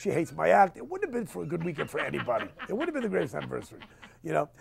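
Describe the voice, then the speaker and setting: Very rapid speech comes through amid noticeable background noise. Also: man. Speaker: stand-up comedian. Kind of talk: casual interview talk. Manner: rapid-fire, fast-talking.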